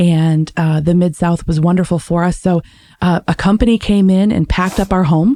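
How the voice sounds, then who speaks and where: With a Midwestern accent, a woman speaks at a fairly low pitch and a moderate pace. Her tone is dark and mellow, with fairly even intonation and very even loudness. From US Midwest, Michigan. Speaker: podcast guest, relocated professional. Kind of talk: interview conversation.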